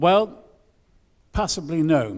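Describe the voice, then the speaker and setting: This man talks with a lively, bouncing intonation. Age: 60s. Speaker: twin-town delegate. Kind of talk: conference speech. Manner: halting.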